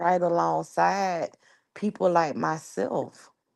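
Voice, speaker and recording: A woman with an American accent speaks in an animated tone at a fairly low pitch. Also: quiet background. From New York. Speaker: YouTuber. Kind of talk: casual chat.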